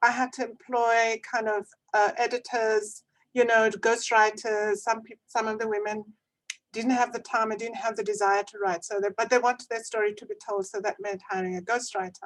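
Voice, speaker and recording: A woman's fairly high voice stays monotone and flat while its loudness swings widely. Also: moderate pace. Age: 70s. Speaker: panelist, author and former corporate executive. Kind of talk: webinar panel discussion. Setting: video call.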